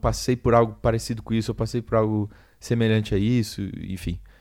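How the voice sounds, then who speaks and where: Recorded very cleanly against a silent background, a man with a fairly low pitch speaks at a moderate pace with fairly even intonation. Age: 20s. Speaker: solo podcaster, graphic designer. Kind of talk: casual solo monologue. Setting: home. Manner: halting, many repetitions.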